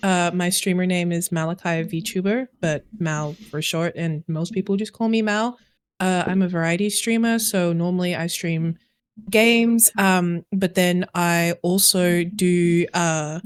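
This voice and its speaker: A woman speaks with an Australian accent at a fairly low pitch and a fairly slow pace. Her intonation stays fairly even on a very clean recording with a silent background. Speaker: variety streamer. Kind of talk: casual chat.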